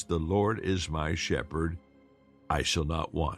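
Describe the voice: In a put-on character voice, a man talks at a fairly slow pace with a very deep, low pitch and fairly even intonation over faint background music.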